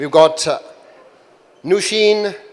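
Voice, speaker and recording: A man speaks loudly with ordinary pitch variation. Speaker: panel moderator. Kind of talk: panel introductions. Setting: conference stage with audience. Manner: animated.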